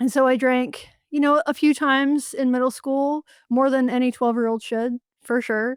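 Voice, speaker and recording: A woman speaks at a moderate pace with a high pitch and an American accent, her intonation fairly even. The recording is very clean and dry, close with no echo and a silent background. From US South, western North Carolina. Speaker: journalist and author. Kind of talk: interview.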